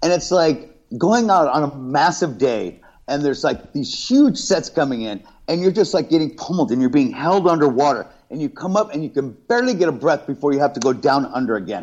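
Fairly quick and fairly high-pitched, a man talks with an American accent and very wide pitch swings. The background is quiet. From New York and Southern California. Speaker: reality TV contestant. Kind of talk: casual interview.

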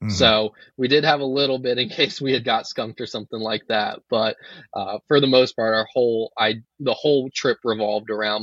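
A man with a plain, everyday voice and an American accent, at a fairly quick pace with fairly even intonation. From Virginia. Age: 20s. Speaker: duck hunter and YouTuber. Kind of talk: casual interview.

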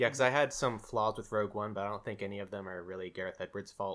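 A man with a fairly low pitch is speaking. His pace is very fast. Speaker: VFX artist. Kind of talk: casual chat.

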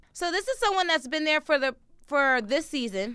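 An animated, bright and sharp tone with lively intonation. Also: woman. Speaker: podcast co-host. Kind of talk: casual chat.

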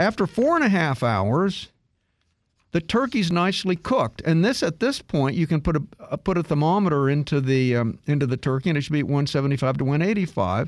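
On a very clean recording with a silent background, a man speaks in a fairly high, upbeat and animated tone. His pitch swings very widely while his loudness stays very even. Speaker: radio host. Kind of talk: radio announcer patter: brisk sign-off plugging email address, website and sponsor; casual technology talk show chat. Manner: upbeat, fluent, conversational; explanatory, jokey, animated.

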